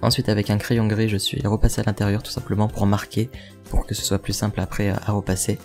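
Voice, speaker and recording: Over music in the background, a man whispers quietly at a fairly quick pace. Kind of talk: DIY tutorial voice-over. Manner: whispered, quiet.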